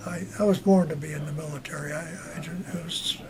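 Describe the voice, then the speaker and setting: A man talks fairly quickly, his pitch rising and falling in an ordinary way, while noticeable background noise runs underneath. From US Northeast, Long Island, New York. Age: 80s+. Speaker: war veteran. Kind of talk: interview. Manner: halting.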